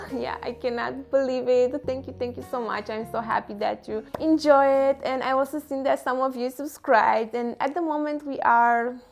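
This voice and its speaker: A woman's high-pitched voice in a Romanian accent, with ordinary pitch variation and a moderate pace, over music in the background. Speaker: self-development vlogger. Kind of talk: casual vlog talk to camera.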